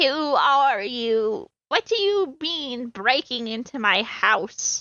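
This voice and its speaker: A put-on character voice from a woman, high-pitched and raspy, at a very slow pace. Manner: confronting, indignant.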